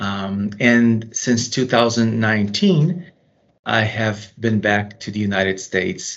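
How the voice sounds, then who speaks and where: A fairly low-pitched man at a very slow pace with ordinary pitch variation. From Brazil. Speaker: company managing director. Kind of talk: interview. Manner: halting.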